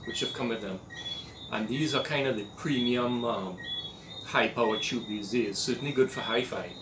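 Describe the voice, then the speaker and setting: A man with a Trinidadian accent speaks at medium pitch with lively intonation. Noticeable background noise and audible room echo are present. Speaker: hobbyist electronics restorer. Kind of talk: tutorial. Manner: casual, hesitant with fillers.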